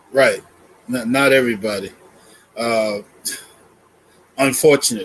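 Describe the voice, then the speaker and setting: Speaking at a moderate pace with long, frequent pauses, a man with an American accent keeps to a medium pitch. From Boston, US. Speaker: church elder. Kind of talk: interview.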